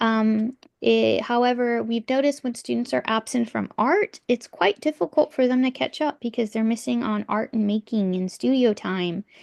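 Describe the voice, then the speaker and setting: With an ordinary speaking voice, a woman speaks at a moderate pace and fairly high pitch with ordinary pitch variation and hardly any pauses, the sound dry and close with no echo against a quiet background. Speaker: art teacher. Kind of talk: parent information meeting presentation. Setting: video call.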